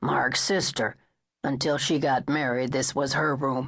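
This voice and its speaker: A raspy put-on character voice at a low-to-middle pitch and a moderate pace. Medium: read story. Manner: terse, laconic.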